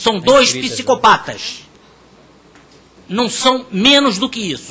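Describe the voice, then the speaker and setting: Over noticeable background noise, a man uses a raised, projected voice at a fairly slow pace. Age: 60s. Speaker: INSS claimant speaking at public hearing. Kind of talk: public testimony. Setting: public hearing in parliament chamber. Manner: impassioned; halting, repeats words.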